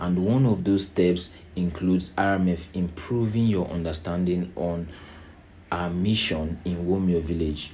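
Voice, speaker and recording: A man speaks in a very deep, low voice with a dark, mellow tone. His intonation is fairly even, and the room echo is audible. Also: fairly slow pace. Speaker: NGO chairman and founder. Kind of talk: organizational presentation. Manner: slow.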